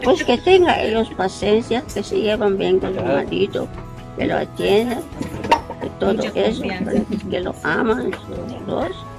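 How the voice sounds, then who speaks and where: Clear music plays in the background as the speech moves very slowly, broken by long, frequent pauses. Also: woman. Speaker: interviewed wife. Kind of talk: interview answer. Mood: warm, reflective. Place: garden. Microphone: phone near.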